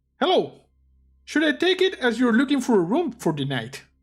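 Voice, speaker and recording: A female-sounding put-on character voice, pitched high, moves at a moderate pace. The recording is very clean with a silent background. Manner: polite, inquiring.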